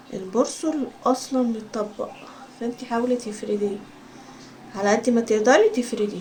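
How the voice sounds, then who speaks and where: Soft-spoken and fairly high in pitch, a woman with an Egyptian accent talks at a fairly slow pace with fairly even intonation amid noticeable background noise. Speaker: sewing instructor. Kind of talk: tutorial.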